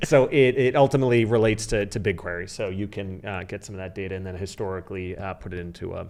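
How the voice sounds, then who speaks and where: A man speaks very fast in a fairly low pitch, with hardly any pauses. His loudness swings widely while his pitch varies in an ordinary way. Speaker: marketing consultant. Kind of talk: podcast interview with screen-share presentation.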